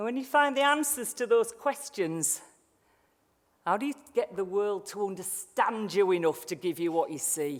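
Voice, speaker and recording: A woman speaks at a moderate pace and a medium pitch. Her pitch swings very widely. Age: 60s. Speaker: sales expert and speaker. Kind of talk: motivational keynote speech. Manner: animated.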